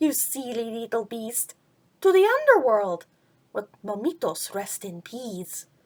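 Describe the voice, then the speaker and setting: Delivered fairly slowly, this is a put-on character voice. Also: female-sounding voice, fairly high pitch for a woman. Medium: read story. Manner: chummy, mixing Spanish words.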